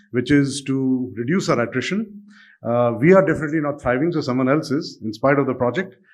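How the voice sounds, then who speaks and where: The speaker is a man. He moves along at a fairly quick pace. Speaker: bank chief executive, keynote speaker. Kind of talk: keynote speech. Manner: fast.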